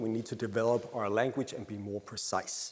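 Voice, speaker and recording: Speaking at a fairly quick pace, a man with a Danish accent talks at a medium pitch. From Denmark. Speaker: happiness researcher. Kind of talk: conference presentation. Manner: hesitant with frequent fillers.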